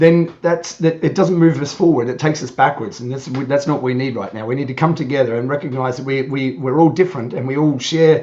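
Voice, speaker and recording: Talking at a very fast pace, a man has an Australian accent and a fairly high pitch. Noticeable background noise sits behind him. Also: ordinary pitch variation, hardly any pauses. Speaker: YouTuber, guest on podcast. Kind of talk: casual chat. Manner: halting, many repetitions.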